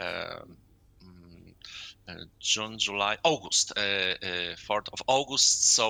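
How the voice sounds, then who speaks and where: A man's fairly low voice with a bright, sharp tone, very slow pace, long, frequent pauses and big swings in loudness. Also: ordinary pitch variation. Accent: Polish. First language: Polish. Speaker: sports journalist. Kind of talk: interview. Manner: halting, many filler sounds.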